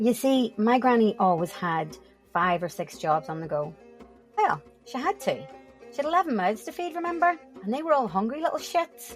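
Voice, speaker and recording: Music plays behind a woman with a Northern Irish accent speaking at a moderate pace. Her fairly high voice moves in very wide pitch swings. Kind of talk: comedic storytelling podcast. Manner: humorous, conversational.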